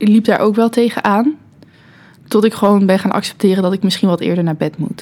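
A woman talks with a normal speaking voice at a medium pitch. Her pace is fairly quick and her pitch varies in an ordinary way. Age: 20s. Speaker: student and social media manager. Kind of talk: casual chat.

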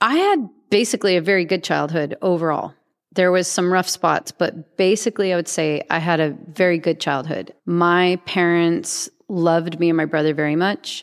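A woman's unremarkable speaking voice, fairly low in pitch, at a moderate pace with hardly any pauses, fairly even intonation and very even loudness, in a very clean recording over a silent background. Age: 40s. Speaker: artist. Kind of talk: casual chat.

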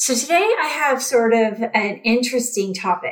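A woman with a plain, everyday voice, a fairly high pitch and lively intonation. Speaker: podcast host and therapist. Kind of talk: guided meditation, box-breathing exercise. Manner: slow, calm, soothing, evenly paced counting with long pauses; gentle, warm, reassuring.

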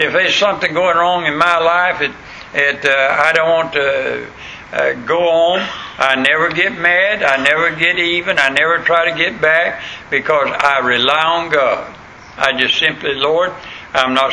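A man with a Southern US accent and a high pitch at a moderate pace, with very even loudness and fairly even intonation, over noticeable background noise. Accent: Southern US rural. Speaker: pastor. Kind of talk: sermon. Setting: church. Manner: folksy, hesitant with frequent fillers.

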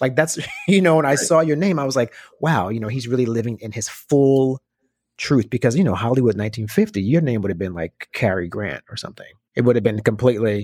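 An unremarkable speaking voice, this man's sits at medium pitch and moves at a fairly quick pace with lively intonation, in a dry, close sound with no echo. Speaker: podcast host. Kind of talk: casual interview. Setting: video call.

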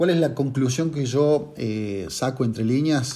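This is a man at a medium pitch. His tone is dark and mellow. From Argentina, Córdoba. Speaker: consumer-law lawyer. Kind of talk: monologue presentation of a legal case. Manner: hesitant with filler words.

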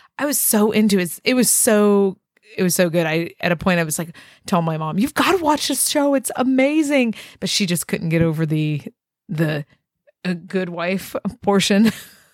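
A woman at a moderate pace and medium pitch, with very wide pitch swings. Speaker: podcast host. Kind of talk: casual interview conversation.

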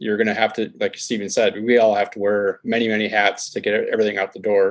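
Here a man talks at a fairly quick pace in a medium pitch. He has an ordinary speaking voice. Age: 50s. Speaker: automotive photographer and magazine founder. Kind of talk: interview.

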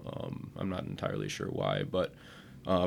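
The recording is very clean, with a silent background. The speaker has an Upper Midwest accent. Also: man. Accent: Upper Midwest American. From central Wisconsin. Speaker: agricultural PR manager. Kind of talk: interview. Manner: hesitant, many fillers.

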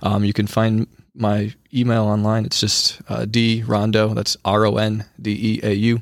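A man with an American accent and an unremarkable speaking voice talks at a fairly slow pace with a fairly low pitch and fairly even intonation, in a very clean recording with a silent background and a dry, close sound with no echo. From rural eastern Wisconsin, Sheboygan area. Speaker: high school teacher. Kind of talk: interview. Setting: studio.

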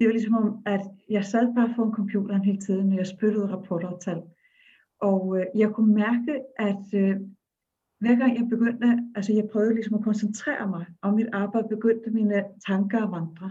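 With an Icelandic accent, a woman speaks at a moderate pace and a fairly high pitch, her somewhat breathy voice carrying a dark, mellow tone and monotone, flat intonation. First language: Icelandic (speaking Danish). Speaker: storyteller and dance facilitator. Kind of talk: interview conversation.

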